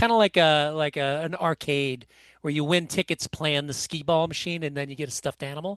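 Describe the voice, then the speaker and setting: A man's fairly high voice, an ordinary speaking voice, at a fairly quick pace with fairly even intonation, dry and close with no echo, against a quiet background. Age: 60s. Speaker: author and musician. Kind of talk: interview storytelling.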